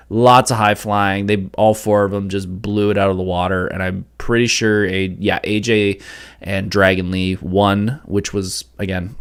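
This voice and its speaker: A man speaks at a moderate pace with a fairly low pitch and flat, monotone intonation. The recording is very clean, with a silent background. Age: 30s. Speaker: wrestling and pop culture podcast host. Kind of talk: live podcast monologue. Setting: live stream. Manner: casual with many fillers.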